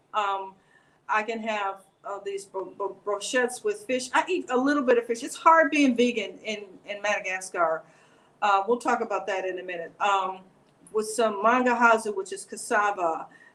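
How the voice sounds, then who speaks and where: Fairly high-pitched with ordinary variation, a woman with an American accent speaks at a moderate pace. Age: 60s. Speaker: American expat and retiree. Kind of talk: interview, personal story. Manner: animated.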